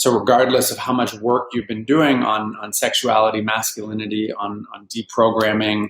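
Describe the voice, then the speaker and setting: A man's medium-pitched voice in a Canadian accent, fairly slow, with monotone, flat intonation. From Vancouver, Canada. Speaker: healer and life coach. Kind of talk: interview.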